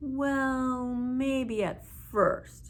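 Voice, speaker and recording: Using a put-on character voice, a woman speaks at a high pitch with monotone, flat intonation. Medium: read story. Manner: complaining.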